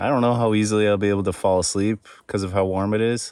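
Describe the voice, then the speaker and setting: This man talks at a very fast pace in a fairly low pitch with an American accent. His intonation stays monotone and flat. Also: very clean recording, silent background. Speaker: solo canoe camping vlogger. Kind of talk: casual vlog narration. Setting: outdoors, camping in tent and canoe on lake.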